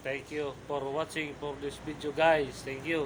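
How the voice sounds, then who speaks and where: A man talks at a fairly slow pace while noticeable background noise runs underneath. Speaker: vlogger. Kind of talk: casual vlog update. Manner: halting, stumbling over words; soft-spoken.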